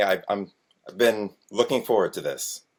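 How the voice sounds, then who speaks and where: A man is speaking. He talks at a fairly slow pace. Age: 40s. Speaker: self-employed private investor. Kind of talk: interview.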